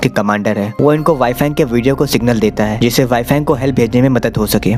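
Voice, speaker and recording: Music plays in the background as a man speaks at a moderate pace. His intonation stays fairly even. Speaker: movie explainer. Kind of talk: movie plot recap narration. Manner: casual, friendly.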